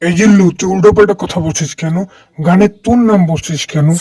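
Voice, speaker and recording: A man puts on a cartoonish character voice at a high pitch with ordinary pitch variation. He talks at a fairly quick pace. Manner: bossy, blustering.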